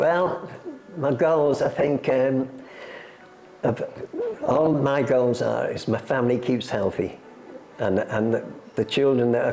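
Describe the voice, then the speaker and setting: Noticeable background noise sits behind a man speaking with an English accent. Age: 80s+. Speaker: retired jockey and horse racing museum guide. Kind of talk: interview.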